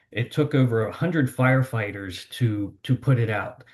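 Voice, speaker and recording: Against a quiet background, a man talks at a moderate pace in a medium pitch, sounding somewhat breathy. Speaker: water-supply engineer presenting. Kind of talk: seminar presentation. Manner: hesitant, with fillers and repetitions.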